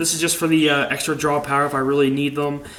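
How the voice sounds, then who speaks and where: A man talks at a very fast pace. His pitch is medium, and background noise is noticeable. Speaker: card game player presenting a deck. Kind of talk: deck profile tutorial. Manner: stuttering.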